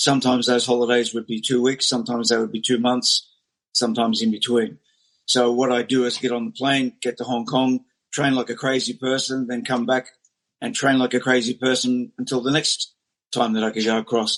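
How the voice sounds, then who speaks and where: A man with an Australian accent talks at a fairly quick pace and medium pitch. His intonation is monotone and flat, and the sound is dry and close with no echo. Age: 60s. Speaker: martial arts teacher. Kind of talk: interview.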